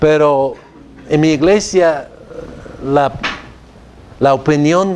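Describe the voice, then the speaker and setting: Very slow speech from a man with a fairly high voice, with audible room echo and noticeable background noise. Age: 60s. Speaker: theology professor. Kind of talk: lecture. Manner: halting.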